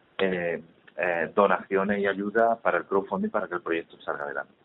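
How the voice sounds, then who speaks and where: Fairly even in intonation, a man speaks in a fairly low pitch. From Spain, Málaga (Andalusia). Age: 40s. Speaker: charity volunteer. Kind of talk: interview. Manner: halting.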